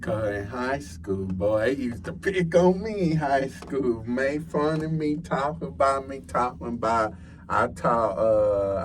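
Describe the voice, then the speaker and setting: Speaking at a fairly slow pace with hardly any pauses, a man with a Texan accent sounds somewhat breathy at a medium pitch, his voice making very wide pitch swings amid audible room echo. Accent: Texas country. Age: 20s. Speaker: podcast guest, college student. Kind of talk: casual chat.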